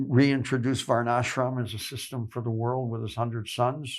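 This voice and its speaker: In an American accent, a man speaks at a moderate pace with monotone, flat intonation on a very clean recording with a silent background. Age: 70s. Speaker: religious elder, monk. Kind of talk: interview. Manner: halting, repeats words.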